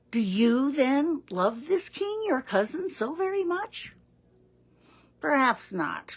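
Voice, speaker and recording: A woman puts on a character voice, pitched high, moving at a fairly slow pace with very wide pitch swings. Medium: read story. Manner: gentle, concerned.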